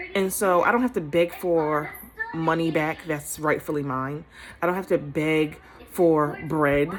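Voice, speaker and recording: A woman speaks at a fairly slow pace with a fairly low pitch and ordinary pitch variation. Music plays in the background. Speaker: hair stylist and inspirational speaker. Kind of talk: casual encouraging talk to camera. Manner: conversational, hesitant with fillers.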